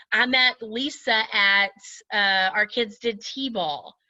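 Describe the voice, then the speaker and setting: A loud woman with a bright, sharp tone and a fairly high pitch speaks against a quiet background. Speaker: direct sales team leader. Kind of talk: training talk to her sales team. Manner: casual, chatty.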